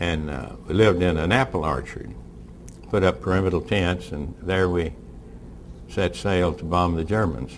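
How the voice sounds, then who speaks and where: With noticeable background noise behind him, a man with a very deep, low pitch speaks at a moderate pace with ordinary pitch variation and long, frequent pauses. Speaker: war veteran. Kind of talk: speech to an audience. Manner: casual, humorous.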